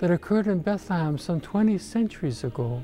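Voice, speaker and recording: Faint music plays behind a man with a high pitch and lively intonation, his voice recorded dry with no echo. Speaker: archbishop. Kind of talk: religious Christmas address to camera. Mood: calm, warm, solemn. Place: church.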